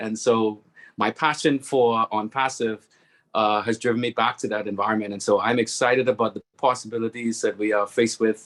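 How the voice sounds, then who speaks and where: A man with a Bahamian accent at a medium pitch and a moderate pace, monotone and flat, with a dry, close sound and no echo. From Bahamas. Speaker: webinar speaker, network marketing member. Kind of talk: testimonial speech on webinar.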